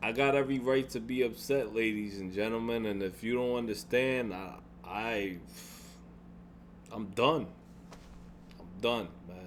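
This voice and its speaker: A man's medium-pitched voice at a fairly slow pace, with long, frequent pauses, ordinary pitch variation, big swings in loudness and audible room echo. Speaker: gaming YouTuber. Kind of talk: vlog rant. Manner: halting, repetitive.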